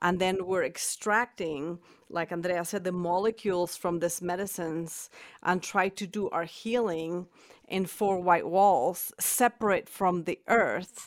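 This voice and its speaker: A woman with a Spanish accent, fairly even intonation and a fairly slow pace, on a very clean recording with a silent background. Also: medium pitch for a woman. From Mexico City, Mexico. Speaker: medicine woman and teacher. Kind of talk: interview conversation.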